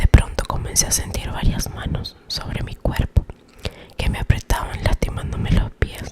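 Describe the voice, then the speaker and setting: Noticeable background noise surrounds a whispering voice. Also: woman. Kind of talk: ASMR whispered story reading. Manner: whispered, soft.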